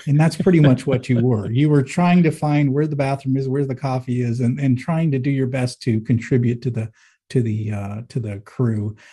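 Speaking at a moderate pace, a man with a medium pitch, ordinary pitch variation, and a dark, mellow tone sounds somewhat breathy. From US Northeast, Manchester, New Hampshire. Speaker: business executive and author. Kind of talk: interview.

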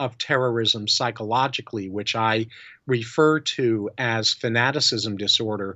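A normal speaking voice in an American accent, at a fairly slow pace with ordinary pitch variation. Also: man. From New York. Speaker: psychologist and integrity consultant. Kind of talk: interview.

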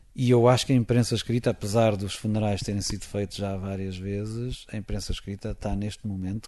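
A man with a fairly low pitch and a dark, mellow tone talks at a fairly quick pace with fairly even intonation, hardly any pauses and a quiet background. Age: 40s. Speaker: football commentator. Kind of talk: interview.

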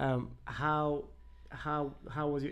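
Audible room echo surrounds the voice. It belongs to a man who is talking. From Denmark, Copenhagen. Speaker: podcast producer. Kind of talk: casual chat.

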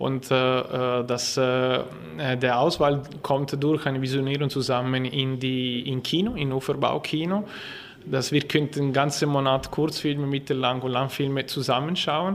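A man with an Italian accent and fairly even intonation over noticeable background noise. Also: medium pitch for a man, fairly slow pace. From Ticino, Switzerland. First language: Italian (speaking German). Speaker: film festival artistic director. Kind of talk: interview. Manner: halting.

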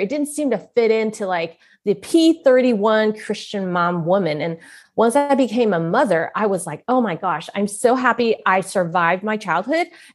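This is a normal speaking voice from a woman, pitched fairly high with lively intonation. She keeps a moderate pace against a quiet background. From US West Coast (San Francisco). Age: middle-aged. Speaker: author and speaker. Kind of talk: casual interview.

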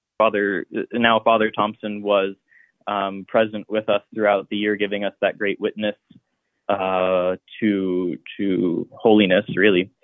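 Speech comes fairly slowly in a monotone, flat intonation. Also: man, fairly low pitch for a man. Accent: Midwestern American. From Columbus, Ohio. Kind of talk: interview.

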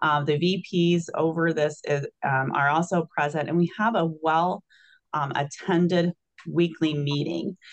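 A woman with an American accent, a fairly low pitch, a normal speaking voice, very even loudness and a fairly slow pace. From Illinois. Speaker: trauma surgeon and hospital executive. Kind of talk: interview.

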